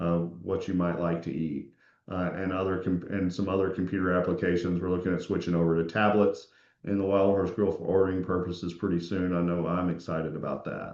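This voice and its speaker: A man's very deep, low voice in a flat monotone at a fairly quick pace. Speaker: community association manager. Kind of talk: budget presentation at online community meeting. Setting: online meeting. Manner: fast.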